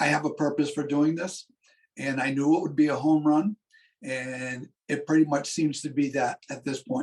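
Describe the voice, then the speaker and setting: A man speaks at a fairly slow pace in a normal speaking voice. His pitch is fairly high and his intonation fairly even. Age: 60s. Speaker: physician assistant and business owner. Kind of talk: interview.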